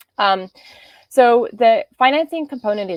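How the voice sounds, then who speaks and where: Lively intonation marks this voice with an Australian accent, recorded with dry, close sound and no echo. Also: woman. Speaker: business development manager, workshop presenter. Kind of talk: online workshop presentation.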